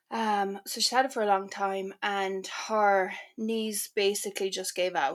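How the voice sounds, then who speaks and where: A woman's medium-pitched voice with an Irish accent and fairly even intonation, in a very clean recording with a silent background. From Ireland, Cork. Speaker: author. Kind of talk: casual chat.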